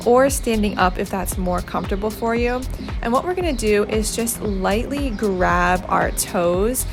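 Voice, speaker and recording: A woman speaks at a moderate pace in an upbeat tone. Music plays in the background. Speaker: fitness instructor. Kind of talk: guided workout voice-over. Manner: encouraging, upbeat, instructional.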